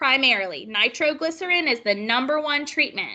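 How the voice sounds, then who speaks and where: A raised, projected, squeaky woman's voice, high in pitch and bright and sharp in tone, with lively intonation at a moderate pace. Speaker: nursing instructor. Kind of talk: lecture. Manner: animated.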